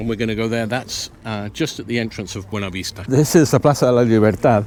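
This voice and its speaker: Very fast speech comes from a man with an English accent. His pitch variation is ordinary. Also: medium pitch for a man. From Venezuela, Canary Islands and UK. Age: 60s. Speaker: local guide and off-grid homesteader. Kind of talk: guided tour talk.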